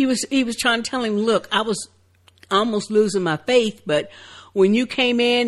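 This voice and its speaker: A woman with an unremarkable speaking voice talks at a fairly high pitch, using ordinary pitch variation. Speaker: TV show recap podcast co-host. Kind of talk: casual chat.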